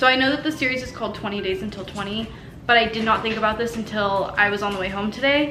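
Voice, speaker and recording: Over noticeable background noise and audible room echo, a woman with an American accent talks at a very fast pace in a fairly high pitch with ordinary pitch variation. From US West. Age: 20s. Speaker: vlogger. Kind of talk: casual vlog haul. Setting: at home. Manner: animated.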